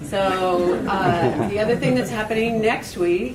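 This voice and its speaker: A woman's voice with ordinary pitch variation, noticeable background noise and audible room echo. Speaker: public commenter at homelessness meeting. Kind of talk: public comment at meeting.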